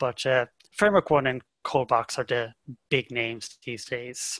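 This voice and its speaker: With music in the background, a man with a slight Irish accent speaks with ordinary pitch variation in a dry, close sound with no echo. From Ireland, County Cork. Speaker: software developer. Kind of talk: interview podcast.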